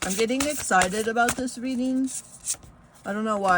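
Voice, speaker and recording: A woman at a fairly quick pace with ordinary pitch variation, over noticeable background noise. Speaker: tarot reader. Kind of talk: tarot reading.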